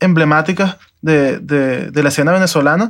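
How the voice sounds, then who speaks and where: A man speaks in a high pitch that varies in an ordinary way. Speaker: podcast host. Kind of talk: interview.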